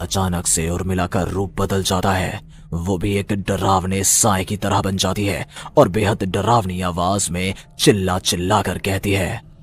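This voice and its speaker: A cartoonish character voice talks at a moderate pace. Clear background noise sits behind it. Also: man, very deep, low pitch for a man. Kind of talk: horror narration.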